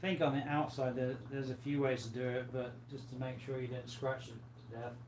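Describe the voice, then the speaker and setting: Soft-spoken and at a fairly quick pace, the voice holds a monotone, flat intonation amid noticeable background noise and audible room echo. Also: man, medium pitch for a man. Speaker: aquarium livestream host. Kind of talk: casual livestream chat reading viewer comments. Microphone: far from the mic, sounds quiet.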